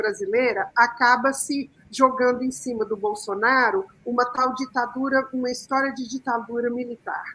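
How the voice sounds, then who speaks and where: High-pitched woman with a bright, sharp tone, ordinary pitch variation and a moderate pace. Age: 60s. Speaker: communicator, panel guest. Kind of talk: panel debate. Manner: hesitant, many fillers.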